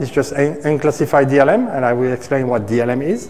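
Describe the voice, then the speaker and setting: The man speaks at a moderate pace. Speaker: cloud engineer. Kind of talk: technical presentation. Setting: stage with audience. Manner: halting. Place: meeting room.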